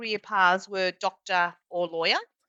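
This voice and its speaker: The speech moves at a very slow pace. It is in an Australian accent. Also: woman. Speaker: executive coach. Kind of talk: podcast interview. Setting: podcast recording.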